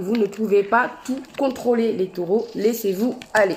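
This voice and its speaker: A woman with an ordinary speaking voice, fairly high in pitch, ordinary pitch variation and a fairly slow pace. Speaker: tarot and oracle card reader. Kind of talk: astrology card reading to camera.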